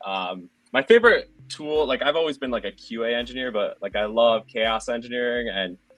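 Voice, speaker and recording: A man speaks at a moderate pace. He talks with a Minnesotan accent. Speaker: product manager. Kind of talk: panel introduction.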